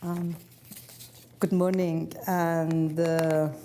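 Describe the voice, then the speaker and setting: Monotone and flat in intonation, a woman with a Persian accent speaks at a fairly low pitch. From Iran. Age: 70s. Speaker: author and former prisoner. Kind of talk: public talk.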